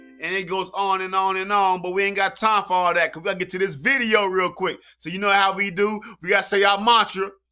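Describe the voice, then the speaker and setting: Faint music plays behind a man with a high voice. He speaks very fast in a monotone, flat intonation with hardly any pauses. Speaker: reaction video host. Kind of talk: casual vlog chat, reading news headlines. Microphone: webcam.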